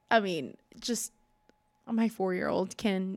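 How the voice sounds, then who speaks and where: A woman at medium pitch with an American accent and fairly even intonation, on a very clean recording with a silent background. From California, Los Angeles area. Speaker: mother of five, pastor's wife. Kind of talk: interview, personal testimony.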